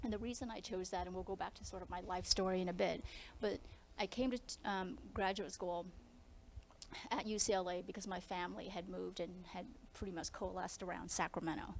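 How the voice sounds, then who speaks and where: A woman's medium-pitched voice with an American accent, at a fairly quick pace with ordinary pitch variation. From US Midwest, Lincoln, Nebraska. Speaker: lawyer and scientist. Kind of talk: career talk to students. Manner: casual.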